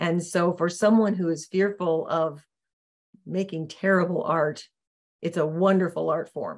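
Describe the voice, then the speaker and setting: A woman's plain, everyday voice, fairly low in pitch, at a fairly slow pace with fairly even intonation. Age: 60s. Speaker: podcast guest, coach. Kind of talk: casual interview chat.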